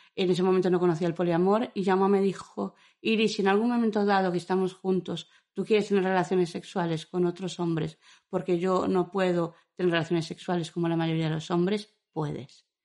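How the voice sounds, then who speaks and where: This woman has a dark, mellow tone. Her intonation stays fairly even. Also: medium pitch for a woman, fairly quick pace. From Madrid. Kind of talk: interview.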